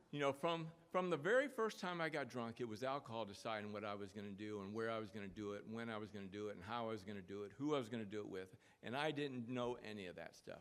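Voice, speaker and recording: At a very fast pace, a man speaks in a medium pitch with ordinary pitch variation. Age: 60s. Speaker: AA convention speaker. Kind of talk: recovery talk, personal testimony. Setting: convention stage with audience. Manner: halting, many repeated words and fillers.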